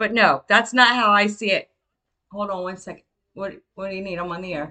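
A woman at a moderate pace, her tone bright and sharp. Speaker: radio DJ. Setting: online radio show with live chat. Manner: chatty, upbeat, laid-back.

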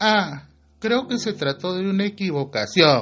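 A man's high-pitched, breathy put-on character voice at a fairly slow pace. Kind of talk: casual. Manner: vacant, airy, mocking.

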